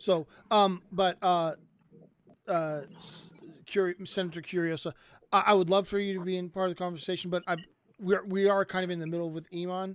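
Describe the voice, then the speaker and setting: With a high pitch, a man speaks at a fairly quick pace in a monotone, flat intonation, broken by long, frequent pauses. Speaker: atheist debate streamer. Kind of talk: casual debate. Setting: online voice chat room streamed. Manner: halting, many restarts.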